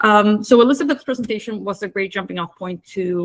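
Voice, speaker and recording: A woman talks fairly quickly in an ordinary speaking voice, her pitch medium with ordinary variation. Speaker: climate program coordinator. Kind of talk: workshop presentation.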